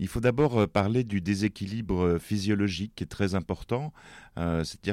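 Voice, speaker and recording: A man with a fairly low pitch and ordinary pitch variation keeps a moderate pace, heard on a very clean recording with a silent background. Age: 60s. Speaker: writer and press attaché. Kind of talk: interview about his depression. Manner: halting, many hesitations.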